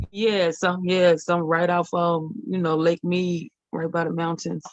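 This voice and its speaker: A woman with a Southern accent speaks at a fairly slow pace. Her fairly low voice stays monotone and flat. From Louisiana. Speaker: participant. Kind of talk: casual chat.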